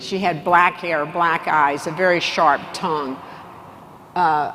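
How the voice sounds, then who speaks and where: There's noticeable background noise and audible room echo as a woman speaks at a fairly slow pace and a fairly low pitch. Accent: American. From Texas. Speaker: business executive and keynote speaker. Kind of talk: conference keynote speech. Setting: stage with large audience.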